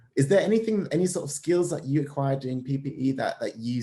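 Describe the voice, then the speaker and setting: Somewhat breathy and medium in pitch, a man talks. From Germany. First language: German. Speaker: university student. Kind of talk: conversational interview. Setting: video call.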